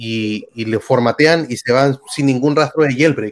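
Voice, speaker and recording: In a very clean recording with a silent background and a dry, close sound without echo, a man speaks at a medium pitch. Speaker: YouTube tech communicator. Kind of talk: interview. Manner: animated.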